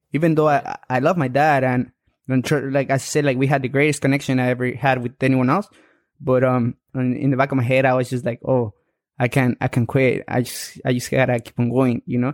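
A man in a flat monotone at a fairly quick pace, the sound dry and close with no echo. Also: medium pitch for a man. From Mexico. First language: Spanish. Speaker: amateur boxer. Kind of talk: interview conversation.

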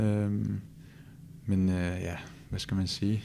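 Pitched fairly low, a man talks at a fairly slow pace with fairly even intonation. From Copenhagen, Denmark. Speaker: professional footballer. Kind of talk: interview. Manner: halting, with repetitions.

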